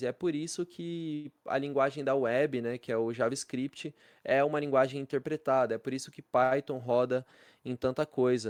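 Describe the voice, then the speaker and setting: Against a quiet background, a man's fairly high voice comes through dry and close with no echo, his intonation fairly even. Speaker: programming teacher. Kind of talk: live class lecture. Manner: fast; casual slangy.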